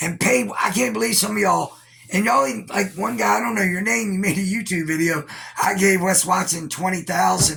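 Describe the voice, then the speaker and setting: Over noticeable background noise, a man with an American accent talks at a high pitch with lively intonation. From Virginia, US. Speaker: YouTuber and internet radio host. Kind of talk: casual reaction commentary. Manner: rambling, casual with profanity.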